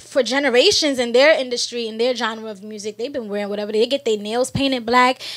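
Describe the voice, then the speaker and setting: A woman with an American accent, high-pitched and animated, talking very fast with hardly any pauses over noticeable background noise. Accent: New York, sometimes noticed. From New York City, Brooklyn. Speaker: actress. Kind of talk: casual chat.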